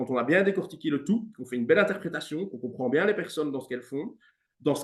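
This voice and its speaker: Fairly high for a man, his voice races along at a very fast pace. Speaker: music teacher and coach. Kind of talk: interview.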